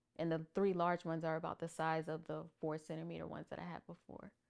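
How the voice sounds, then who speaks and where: A woman's ordinary speaking voice, fairly low in pitch, at a fairly quick pace with fairly even intonation. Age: 30s. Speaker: pageant titleholder and army HR worker. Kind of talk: casual interview, personal testimony.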